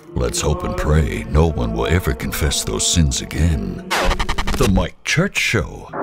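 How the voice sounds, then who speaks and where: Over loud background music, a man speaks at a fairly slow pace in a dry sound with no echo. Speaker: radio imaging voice-over artist and producer. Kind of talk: radio imaging promo read. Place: booth.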